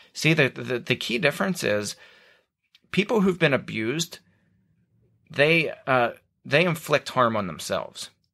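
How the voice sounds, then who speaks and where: On a very clean recording with a silent background, a man with a Northern US accent speaks at a fairly high pitch, with a bright, sharp tone and vocal fry. His intonation is lively, his pace fairly slow, with long, frequent pauses. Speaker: podcast host. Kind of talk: casual interview. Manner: sarcastic.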